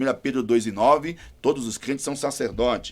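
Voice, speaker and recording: A normal speaking voice at a moderate pace on a very clean recording with a silent background. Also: man. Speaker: pastor. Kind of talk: panel discussion.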